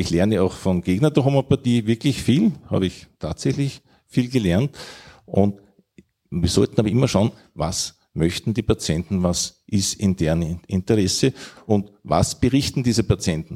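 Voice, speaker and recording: This man has a fairly low voice with a dark, mellow tone and a Viennese accent. His intonation is lively at a moderate pace, and the sound is dry and close with no echo. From Austria, Vienna. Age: old. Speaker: physician, homeopathy society chair. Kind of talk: panel debate.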